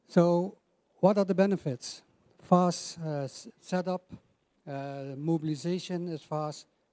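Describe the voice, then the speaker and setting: Delivered at a very slow pace, the speech has a dark, mellow tone, fairly even intonation and big swings in loudness. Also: man, high pitch for a man. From Netherlands. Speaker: energy company representative. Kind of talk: conference presentation.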